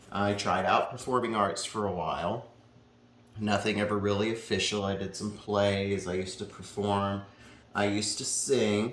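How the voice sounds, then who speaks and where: Over audible room echo, a man with an American accent speaks at a fairly low pitch in a monotone, flat intonation. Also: moderate pace. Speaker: painter. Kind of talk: casual chat.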